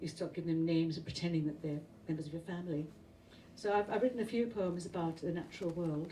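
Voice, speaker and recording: This woman talks at a very fast pace in a fairly low, dark and mellow voice that is somewhat breathy, with ordinary pitch variation and audible room echo. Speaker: poet. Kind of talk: poetry reading.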